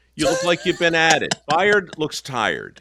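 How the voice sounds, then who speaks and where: Speaking at a moderate pace, the man has a bright, sharp tone with vocal fry. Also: very clean recording, silent background. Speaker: radio show host, interviewer.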